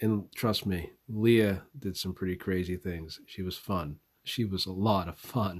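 Speaking with a Southwestern US accent, a man uses a very deep, low pitch at a fairly slow pace with fairly even intonation. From US Southwest. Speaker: podcaster. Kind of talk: eulogy, personal tribute. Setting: away from home, makeshift recording.

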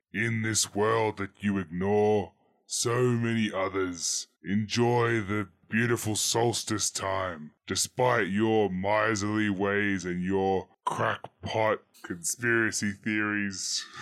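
A man in a put-on character voice speaks at a very slow pace and fairly low pitch on a very clean recording with a silent background. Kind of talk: theatrical moral monologue. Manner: stern, commanding, scolding.

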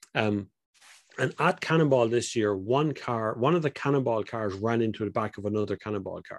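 At a fairly quick pace, a man with an Irish accent speaks at medium pitch with ordinary pitch variation on a very clean recording with a silent background. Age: 40s. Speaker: car enthusiast. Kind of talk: casual interview.

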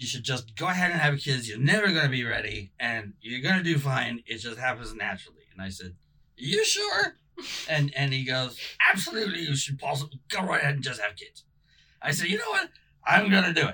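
Speaking at a fairly quick pace, a man uses lively intonation and a fairly high pitch over noticeable background noise. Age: 50s. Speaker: podcast host. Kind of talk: casual chat.

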